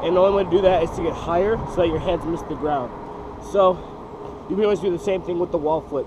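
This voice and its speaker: A high-pitched man at a very fast pace, with fairly even intonation, long and frequent pauses, and noticeable background noise. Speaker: parkour and freerunning instructor. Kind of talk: casual tutorial talk to camera.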